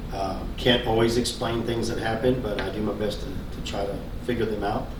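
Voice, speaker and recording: The delivery is fairly quick, with monotone, flat intonation. Audible room echo and noticeable background noise come through. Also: man, medium pitch for a man. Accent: American. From Central Texas, Killeen area. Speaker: local resident. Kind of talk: interview. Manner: halting.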